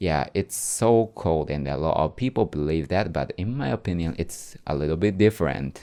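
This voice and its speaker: With a Japanese accent, a man speaks at a very deep, low pitch in a dark, mellow tone. His pitch varies in an ordinary way. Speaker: podcaster. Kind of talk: casual talk answering viewer questions. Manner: halting.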